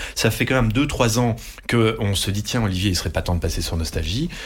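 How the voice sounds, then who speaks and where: A man talks at a fairly quick pace with medium pitch. Noticeable background noise can be heard. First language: Dutch (speaking French). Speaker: radio group executive. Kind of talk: interview. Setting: studio.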